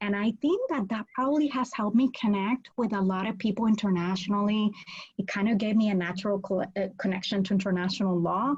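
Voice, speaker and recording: This woman has a Spanish accent and a medium pitch, with ordinary pitch variation. She talks very fast and sounds somewhat breathy. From Puerto Rico. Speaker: law professor. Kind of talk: interview.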